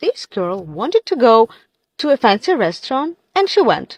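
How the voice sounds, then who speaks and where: A woman talks with a Russian accent and very wide pitch swings. The sound is dry and close, with no echo. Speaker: content creator. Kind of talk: casual social media monologue.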